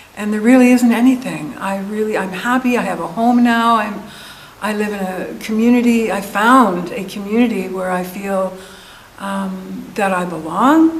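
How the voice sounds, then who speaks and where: A woman with a medium pitch and ordinary pitch variation speaks at a moderate pace, with audible room echo and noticeable background noise. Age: 70s. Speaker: meditation group attendee. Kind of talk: testimony. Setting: community center group session.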